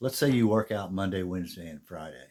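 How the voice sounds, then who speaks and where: A man speaks with lively intonation at a moderate pace in a very clean recording with a silent background. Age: 60s. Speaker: fitness vlogger. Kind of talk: casual talk to camera. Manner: conversational.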